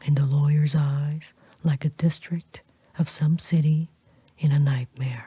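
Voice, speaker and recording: This voice is soft-spoken. Everything is whispered. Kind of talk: audiobook reading of a classic novel. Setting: close-mic studio recording. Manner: soft-spoken, whispered.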